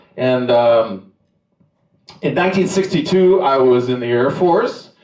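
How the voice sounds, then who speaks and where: Audible room echo surrounds a man at medium pitch. He talks at a moderate pace with very wide pitch swings. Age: 70s. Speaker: stand-up comedian. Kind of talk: stand-up. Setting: stage with nearly empty room. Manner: halting.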